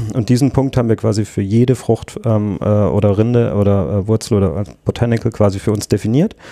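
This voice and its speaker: At a moderate pace, a man with a dark, mellow tone speaks at fairly low pitch with ordinary pitch variation. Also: very even loudness. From southwestern Germany. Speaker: drinks startup founder and designer. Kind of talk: casual interview. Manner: hesitant, many fillers.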